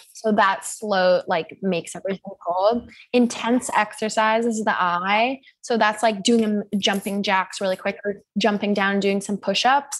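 At a fairly slow pace, a woman with an unremarkable speaking voice talks at medium pitch with fairly even intonation. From US Pacific Northwest (Seattle). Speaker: sex educator and mental health advocate. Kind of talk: casual interview chat.

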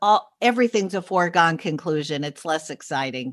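Against a quiet background, a woman with a New York accent talks at a moderate pace in a bright, sharp tone, her pitch swinging very widely. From New York City, Upper East Side. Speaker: journalist and podcaster. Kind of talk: casual chat.

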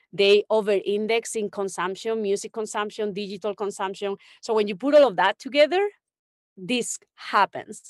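Against a quiet background, a woman talks at a moderate pace and medium pitch, with ordinary pitch variation and a dry, close sound with no echo. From Spain, Extremadura (Don Benito). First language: Spanish. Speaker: music industry executive. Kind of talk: interview.

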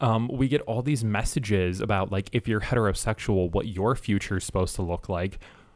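An unremarkable speaking voice talks at a fairly quick pace with ordinary pitch variation and hardly any pauses, on a very clean recording with a silent background. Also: man, fairly low pitch for a man. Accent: American. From Michigan, US Midwest. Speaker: sex educator. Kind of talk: interview.

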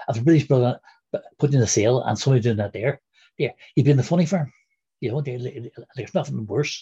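This speaker has a Northern Irish accent and a dark, mellow tone that is somewhat breathy, with ordinary pitch variation. The delivery is very fast yet broken by long, frequent pauses, in a dry, close sound with no echo. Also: man, medium pitch for a man. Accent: Derry Northern Irish. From Derry, Northern Ireland. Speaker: former republican prisoner, interviewee. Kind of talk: interview, recounting personal history. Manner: halting, fillers.

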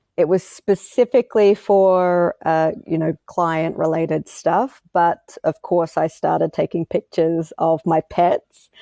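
A woman with an Australian accent talks at a fairly slow pace in a fairly low, dark, mellow voice with fairly even intonation, recorded dry and close with no echo against a quiet background. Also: hardly any pauses, very even loudness. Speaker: wildlife photographer and filmmaker. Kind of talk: interview. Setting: studio.

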